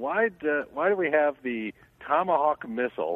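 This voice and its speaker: This is a man talking. The pitch of his voice rises and falls very widely. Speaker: caller; youth baseball coach or umpire. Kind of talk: casual phone banter. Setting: phone call. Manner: loud; boisterous, joking.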